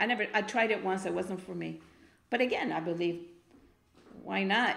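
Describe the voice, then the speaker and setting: There is audible room echo on this recording. A woman talks at a fairly quick pace. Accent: Spanish. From Argentina, Buenos Aires. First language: Spanish. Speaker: spoken word poet. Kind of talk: interview. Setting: studio.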